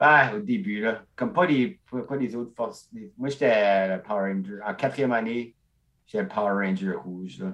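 Man with a plain, everyday voice, medium pitch, lively intonation and a fairly slow pace. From Acadian peninsula, northeast New Brunswick. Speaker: stand-up comedian. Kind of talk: casual chat.

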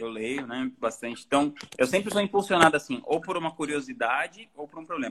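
Talking at a fairly quick pace, a man has a fairly high pitch and a bright, sharp tone. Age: 30s. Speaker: author and musician. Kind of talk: casual interview.

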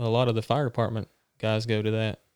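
A man's fairly quick, medium-pitched delivery in a normal speaking voice, dry and close with no echo. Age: 20s. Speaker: former Marine, firefighter. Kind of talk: casual chat.

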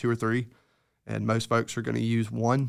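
In a Mississippi accent, a man talks at medium pitch with monotone, flat intonation. The recording is very clean, with a silent background. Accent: US Southern (Mississippi). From Mississippi Delta, Greenville. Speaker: entomologist. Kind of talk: casual interview. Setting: studio.

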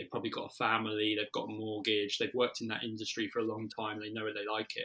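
A man's fairly low, bright and sharp voice with a British accent, very fast and flat in monotone intonation. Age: 30s. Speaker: marketing agency director. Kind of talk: interview. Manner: casual with many fillers.

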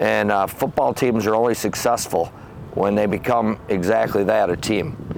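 A man with a Michigan accent speaks at a fairly low pitch. His loudness stays very even, and his pitch varies in an ordinary way. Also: moderate pace. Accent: Michigan (Inland North) American. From Michigan, Howell area. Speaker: former football coach. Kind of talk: casual interview.

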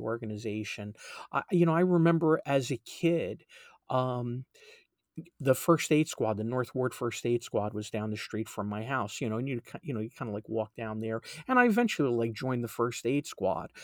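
A man with a normal speaking voice and an American accent, medium in pitch with ordinary pitch variation, at a moderate pace, in a very clean, silent-background recording that is dry and close with no echo. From New Jersey. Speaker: EMS chief. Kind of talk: interview.

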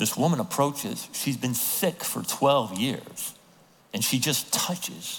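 Ordinary pitch variation in an unforced reading voice.

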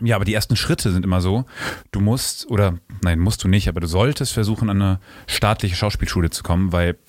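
This man speaks at a fairly quick pace. His pitch is fairly low, with ordinary variation. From Rhineland, Germany (Bonn). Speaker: stage actor. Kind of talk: interview.

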